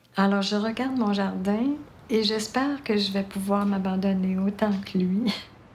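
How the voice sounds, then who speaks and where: The pace is fairly slow. Room echo can be heard. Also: woman, medium pitch for a woman, fairly even intonation. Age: 70s. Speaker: retirement home resident. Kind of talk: testimony.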